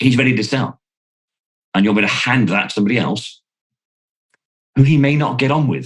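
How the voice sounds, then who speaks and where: Speaking fairly quickly but with long, frequent pauses, a man with an English accent uses a medium pitch and ordinary pitch variation. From UK. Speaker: sales trainer. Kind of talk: casual chat. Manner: loud; animated.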